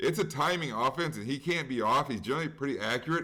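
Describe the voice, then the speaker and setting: A man speaks with lively intonation. His tone is bright and sharp. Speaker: sports betting podcast host. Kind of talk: casual sports chat. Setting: at home. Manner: fast.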